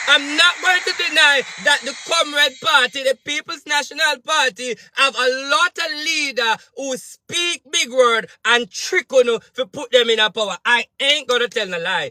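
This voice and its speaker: A man's raised, projected voice at an extremely high pitch, with lively intonation and hardly any pauses. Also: moderate pace, dry, close sound with no echo. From Jamaica. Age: 30s. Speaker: spiritual advisor and political commentator. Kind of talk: political rant monologue. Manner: animated.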